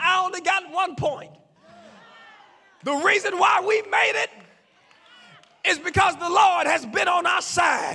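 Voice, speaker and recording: Over crowd noise in the background, a man speaks in a raised, projected voice at an extremely high pitch, his tone animated, with ordinary pitch variation and a moderate pace. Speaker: pastor. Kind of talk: sermon. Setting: church with congregation. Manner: rhythmic repetition; animated, shouting.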